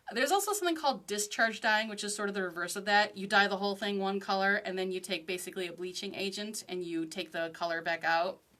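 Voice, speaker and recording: Over noticeable background noise, a woman speaks very fast with hardly any pauses. Her pitch is medium and varies in an ordinary way. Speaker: craft teacher. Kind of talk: online lecture. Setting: livestream. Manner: animated.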